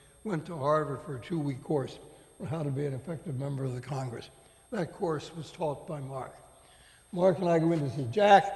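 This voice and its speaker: Audible room echo surrounds a man's voice. His pitch is fairly high, with ordinary variation. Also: fairly quick pace. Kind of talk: on-stage interview.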